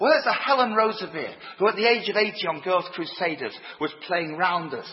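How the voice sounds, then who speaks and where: Noticeable background noise sits behind a man whose lively intonation comes at a fairly quick pace. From northern England, Leeds. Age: 50s. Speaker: preacher. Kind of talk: sermon. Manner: animated.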